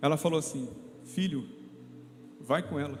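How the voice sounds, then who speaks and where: A man at a moderate pace with lively intonation, amid audible room echo. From interior of São Paulo state, Brazil (São José dos Campos). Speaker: lay preacher, ministry leader. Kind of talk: sermon. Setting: church service.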